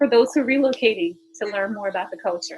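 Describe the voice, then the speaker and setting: A woman speaks with a Geechee accent at a fairly high pitch. Her pace is fairly quick. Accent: Geechee intonation and tone. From South Carolina Lowcountry (Huger), Gullah Geechee. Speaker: author and speech-language pathologist. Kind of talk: podcast interview. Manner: energetic.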